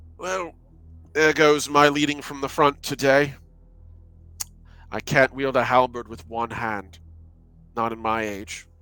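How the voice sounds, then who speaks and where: A man speaks in a put-on character voice at medium pitch, going at a fairly slow pace with long, frequent pauses, over hissing and background music. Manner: hissing, pained.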